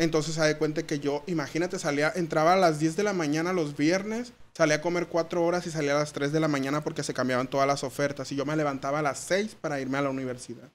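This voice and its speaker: A man's fairly high voice at a very fast pace, with hardly any pauses. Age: 30s. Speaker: social media comedian. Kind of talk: casual chat. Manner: animated. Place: studio. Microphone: studio mic.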